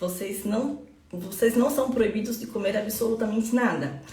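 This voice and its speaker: With noticeable background noise and audible room echo, a woman's voice comes through. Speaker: nutritionist. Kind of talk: live stream talk. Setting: live stream. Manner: fast; animated.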